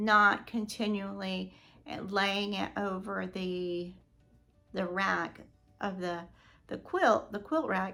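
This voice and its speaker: A woman's raspy put-on character voice at medium pitch, very slow, with long, frequent pauses and music in the background. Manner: stuttering, hesitant.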